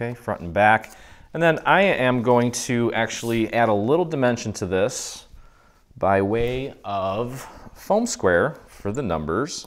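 A man with a plain, everyday voice speaks at a fairly slow pace, his intonation lively. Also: medium pitch for a man. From born abroad, moved to US as a child. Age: 40s. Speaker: craft tutorial host. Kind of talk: tutorial. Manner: casual, filler-heavy. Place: studio.

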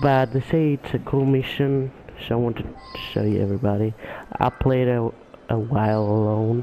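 A man speaks quietly with fairly even intonation and long, frequent pauses. Noticeable background noise runs underneath. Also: medium pitch for a man, moderate pace. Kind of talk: casual gameplay commentary.

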